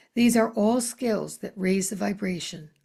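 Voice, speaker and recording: A woman speaks at a medium pitch in a calm tone. Her voice is dark, mellow and somewhat breathy. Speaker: spiritual channeler. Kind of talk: spiritual newsletter message. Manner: slow, calm.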